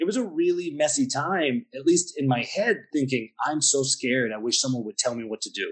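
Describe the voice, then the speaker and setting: A man with a Pennsylvania accent at a fairly quick pace. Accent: American (Pennsylvania). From US, Pennsylvania. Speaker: wine bar owner. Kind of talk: interview.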